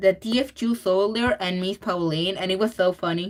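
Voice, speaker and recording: Lively intonation in a Spanish accent at a fairly slow pace. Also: woman. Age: 20s. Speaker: digital artist streaming while drawing. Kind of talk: casual livestream chat. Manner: halting, with fillers and repeats.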